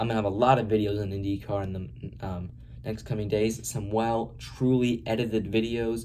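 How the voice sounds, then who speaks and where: Fairly low-pitched male voice with a dark, mellow tone and fairly even intonation, plus audible room echo. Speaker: motorsport YouTuber. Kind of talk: unscripted race review monologue. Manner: fast; hesitant, many fillers.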